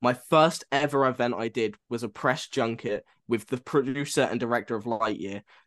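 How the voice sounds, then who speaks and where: Over a quiet background, a man with a normal speaking voice talks at a medium pitch and moderate pace, his intonation fairly even. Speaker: podcast co-host, film student. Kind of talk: casual chat.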